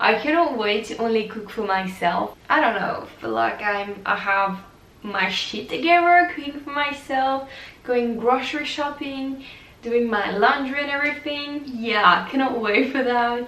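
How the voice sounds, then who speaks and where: A woman's high pitch and lively intonation at a fairly slow pace, with audible room echo and noticeable background noise. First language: French. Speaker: vlogger, exchange student. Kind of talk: casual vlog monologue.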